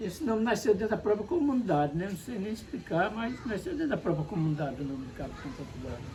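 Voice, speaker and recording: The speech comes at a very fast pace with very wide pitch swings. Noticeable background noise is present. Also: man, high pitch for a man. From Paraíba, northeastern Brazil. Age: 60s. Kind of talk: interview.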